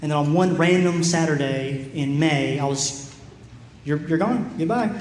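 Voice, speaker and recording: A man at a fairly high pitch and moderate pace, with ordinary pitch variation, audible room echo and noticeable background noise. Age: 20s. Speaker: preacher. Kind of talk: sermon.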